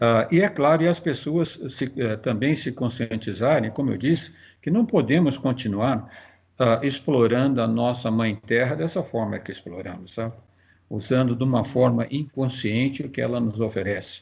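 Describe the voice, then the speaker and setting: The voice is somewhat breathy, with ordinary pitch variation and a moderate pace. The background is quiet. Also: man, medium pitch for a man. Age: 70s. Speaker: physicist and professor. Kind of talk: interview. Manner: halting, with many fillers.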